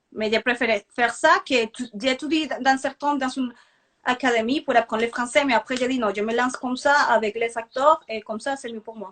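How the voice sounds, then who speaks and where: A woman with a Spanish accent talks at a fairly quick pace in a high pitch, her intonation fairly even but her loudness swinging widely, in a dry, close sound with no echo and a quiet background. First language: Spanish (speaking French). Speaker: actress. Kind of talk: interview. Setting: Instagram live video call. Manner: halting, with hesitations.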